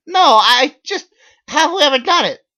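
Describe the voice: Using a put-on character voice, the speaker goes at a fairly slow pace with a bright, sharp tone and lively intonation.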